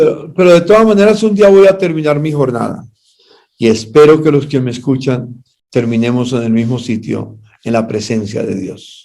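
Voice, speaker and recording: In a room with audible echo, a man speaks at a moderate pace in a dark, mellow tone with very wide pitch swings. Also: medium pitch for a man. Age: 80s+. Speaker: pastor and party official. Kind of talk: interview.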